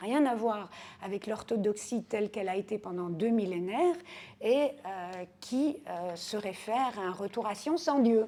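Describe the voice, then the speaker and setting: Her pitch is fairly high, and the woman's pitch variation is ordinary. She talks at a fairly slow pace. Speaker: historian. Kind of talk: interview answer. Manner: soft-spoken.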